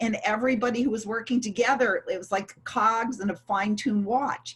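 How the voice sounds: A woman talks at a fairly quick pace in a fairly high pitch. Her tone is fairly bright with a slightly husky edge, and her intonation stays fairly even.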